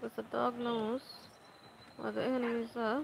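Noticeable background noise sits behind a woman. She talks at a fairly slow pace and fairly high pitch. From Bangladesh, Dhaka. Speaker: gaming streamer. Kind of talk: live gameplay commentary. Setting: home with loud background noise.

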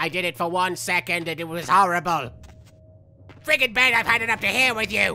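A man's put-on character voice, high in pitch, over clear music in the background. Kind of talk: in-character game commentary. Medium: actual play. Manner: sarcastic, comedic.

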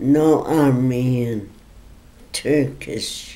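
Very deep and low-pitched, a woman talks at a very slow pace. Her intonation stays fairly even. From Armenia. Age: 80s+. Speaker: genocide survivor. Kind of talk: interview answer. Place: home room. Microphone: phone near.

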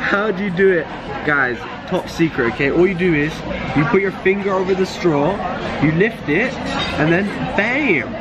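Crowd noise sits behind a man who talks at a moderate pace with ordinary pitch variation and long, frequent pauses. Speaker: vlogger. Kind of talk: casual vlog chat. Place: shop. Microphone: phone near.

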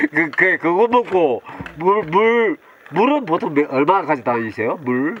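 This man's high-pitched voice swings very widely in pitch, with noticeable background noise behind him. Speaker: interviewer. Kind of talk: casual interview questions.

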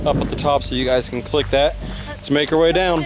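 Very fast delivery with ordinary pitch variation over noticeable background noise. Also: man, dry sound with no echo. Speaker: vlogger. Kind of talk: casual vlog chat. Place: forest. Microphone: phone near.

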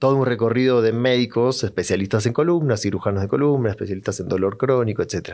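The man's delivery is fairly quick, his pitch shifts in an ordinary way, and the background stays quiet. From Argentina. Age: 40s. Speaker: psychologist; podcast guest. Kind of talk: interview conversation. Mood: calm, reflective storytelling. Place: studio. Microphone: studio mic.

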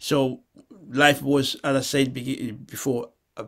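A man speaks against a quiet background. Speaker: guest. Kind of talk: lecture.

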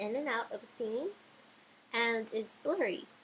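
Music plays in the background as a woman speaks at a moderate pace. Her fairly high voice has lively intonation. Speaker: video editing tutorial maker. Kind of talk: screen-recorded software tutorial. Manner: casual.

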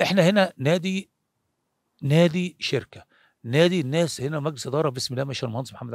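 In a dry sound with no echo and a quiet background, a man speaks at a fairly high pitch and a fairly quick pace with ordinary pitch variation. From Egypt. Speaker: former football goalkeeper; interviewee. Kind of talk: interview. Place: open country. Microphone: handheld.

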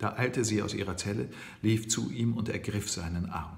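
Fairly low-pitched, somewhat breathy male voice with ordinary pitch variation at a fairly slow pace. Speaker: audiobook reader. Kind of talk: novel reading. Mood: calm storytelling. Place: kitchen. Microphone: phone near.

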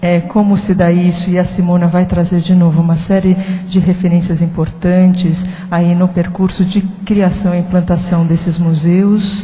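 With very even loudness and a flat, monotone delivery, a woman talks at a moderate pace in a fairly low pitch. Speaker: panel moderator. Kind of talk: panel moderation. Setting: stage with audience. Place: hall. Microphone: handheld.

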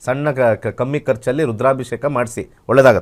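A man talks at a medium pitch with fairly even intonation. He has a normal speaking voice. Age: 50s. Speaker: astrologer. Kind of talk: live call-in astrology consultation.

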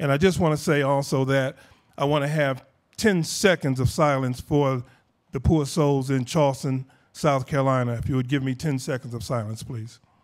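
Against a quiet background, a man speaks at a fairly high pitch. His pace is moderate and his pitch varies in an ordinary way. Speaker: foundation head and bereaved father. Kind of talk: speech to audience. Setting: stage with audience. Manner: humorous. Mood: earnest, emotional, some humor. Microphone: lapel.

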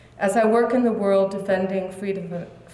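A woman is speaking. Room echo is audible. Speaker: speaker. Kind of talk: formal speech. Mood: earnest, reflective. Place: hall. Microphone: podium.

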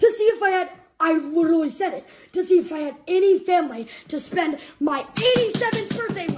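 This put-on character voice talks at a fairly quick pace with extremely high pitch.

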